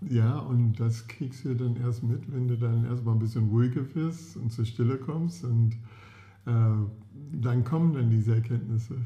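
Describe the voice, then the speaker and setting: A somewhat breathy man's voice, medium in pitch, with a dark, mellow tone. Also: ordinary pitch variation, moderate pace. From US, California (San Diego). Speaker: podcast co-host. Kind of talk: casual chat. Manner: halting.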